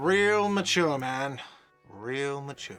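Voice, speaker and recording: A man puts on a whiny character voice at a fairly high pitch. Faint music plays in the background. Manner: shouting, indignant.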